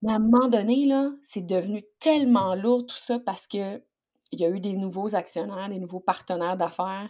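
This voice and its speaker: A woman speaks in a dark, mellow tone at a medium pitch, with ordinary pitch variation and a moderate pace. Her loudness swings widely in a very clean recording with a silent background. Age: 40s. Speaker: leadership coach. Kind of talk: interview.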